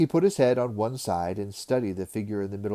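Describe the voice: Ordinary pitch variation throughout plain reading aloud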